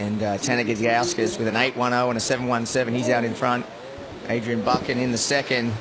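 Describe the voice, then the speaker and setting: A man talks at a very fast pace with fairly even intonation and very even loudness. Noticeable background noise and audible room echo fill the recording. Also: medium pitch for a man. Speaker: surf contest commentator. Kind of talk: live commentary. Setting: commentary booth.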